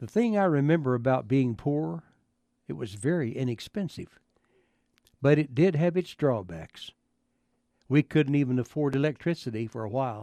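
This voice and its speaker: His voice has a dark, mellow tone, and the sound is dry and close with no echo. The man uses lively intonation and leaves long, frequent pauses. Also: medium pitch for a man, moderate pace. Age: 70s. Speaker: radio commentator. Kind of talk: scripted humorous monologue.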